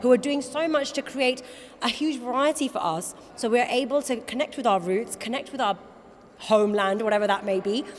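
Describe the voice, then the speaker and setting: Over noticeable background noise, a woman talks at a very fast pace. Her high voice has lively intonation. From Wales. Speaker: awards host and judge. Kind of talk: interview. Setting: awards event.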